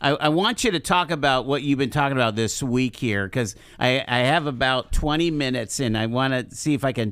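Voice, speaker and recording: Fairly high in pitch with ordinary pitch variation, a man talks in a normal speaking voice. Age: 60s. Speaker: radio talk show host. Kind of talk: radio interview. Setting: radio studio.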